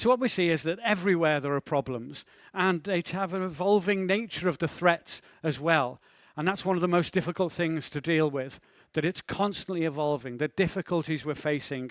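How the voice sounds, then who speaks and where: The recording is very clean, with a silent background and a dry, close sound with no echo. A man talks at a fairly quick pace in a high pitch. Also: ordinary pitch variation. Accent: Liverpool. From northern England, Liverpool. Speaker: maritime security speaker. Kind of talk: conference talk.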